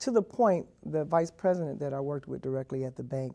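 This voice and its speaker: A woman speaks with vocal fry in a very deep, low pitch and a dark, mellow tone. The recording is very clean, with a silent background. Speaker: Marine veteran. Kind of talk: oral history interview. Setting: interview. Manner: hesitant.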